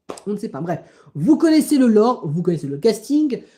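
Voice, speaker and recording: A woman's voice with a dark, mellow tone. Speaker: livestreamer. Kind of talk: live stream chat. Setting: live stream. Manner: halting.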